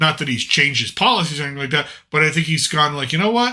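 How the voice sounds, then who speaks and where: This man's voice has a bright, sharp tone. His pitch sits fairly high. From New England, US. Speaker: podcast host. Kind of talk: casual political chat.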